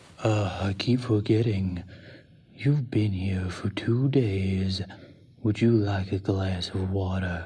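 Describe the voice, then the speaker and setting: Using a put-on character voice, a man talks at a fairly low pitch with fairly even intonation. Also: fairly slow pace. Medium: audio drama. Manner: calm, smooth, politely menacing.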